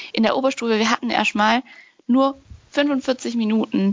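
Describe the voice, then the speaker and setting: Fairly slow, fairly evenly intoned speech from a woman. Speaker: podcast co-host. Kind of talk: casual discussion. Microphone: no proper mic, bad connection.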